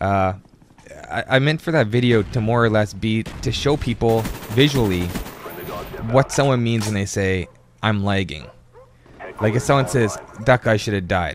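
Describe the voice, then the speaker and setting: With noticeable background noise, a man at a medium pitch talks at a moderate pace with ordinary pitch variation and long, frequent pauses. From Canada. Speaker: gaming commentator. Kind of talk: gameplay commentary. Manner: halting, many repetitions and fillers.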